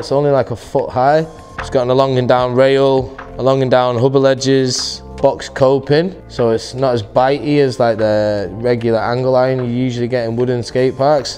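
Faint music in the background accompanies a man speaking at a moderate pace with fairly even intonation. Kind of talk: interview answer. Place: hall.

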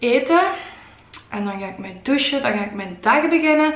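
A woman's voice with audible room echo. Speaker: fitness vlogger. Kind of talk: casual vlog chat and workout instruction. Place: home room. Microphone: phone near.

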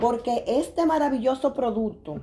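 A woman speaks at a fairly slow pace in an animated tone, with ordinary pitch variation. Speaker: product distributor; product seller vlogger. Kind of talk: live video sales pitch. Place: home room. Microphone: phone near.

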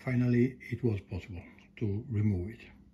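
The man's voice has a dark, mellow tone. A bit of breathiness runs through it. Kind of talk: tutorial. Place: garage.

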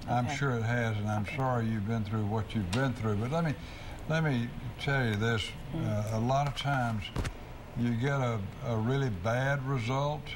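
A man speaks with long, frequent pauses. Noticeable background noise sits behind him. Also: ordinary pitch variation, moderate pace. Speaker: lawyer answering legal questions on radio. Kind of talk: call-in legal advice show. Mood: calm, reassuring. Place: studio. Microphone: lapel.

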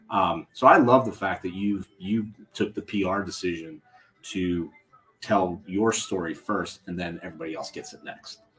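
Big swings in loudness mark this man's very deep, low-pitched voice. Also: moderate pace. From Youngstown, Ohio. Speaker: podcast host, marketing conference organizer. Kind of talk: casual chat. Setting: live at a coffee shop. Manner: animated. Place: home room. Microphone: webcam.

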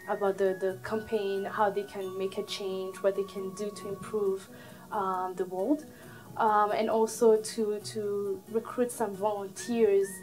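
A woman's medium-pitched voice at a fairly slow pace, with fairly even intonation and faint music in the background. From Burundi. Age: 20s. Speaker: Red Cross volunteer. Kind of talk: interview answer. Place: office.

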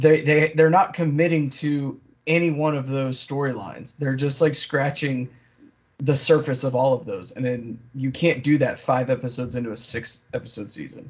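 Here a man speaks at a fairly high pitch with a somewhat breathy quality. His intonation is fairly even and his pace moderate. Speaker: podcast co-host. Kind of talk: casual chat.

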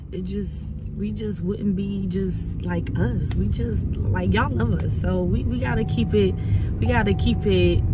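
Dry sound with no echo, a fairly slow pace and loud background noise. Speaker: vlogger. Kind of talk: casual vlog chat. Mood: relaxed, chatty. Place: car. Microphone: phone near.

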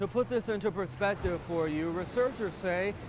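With an American accent and lively intonation, a man speaks at a high pitch over noticeable background noise. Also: dry sound with no echo. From United States. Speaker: news anchor and reporter. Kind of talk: TV news anchor and field reporter reel. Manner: polished, upbeat, professional broadcast delivery. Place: beach.

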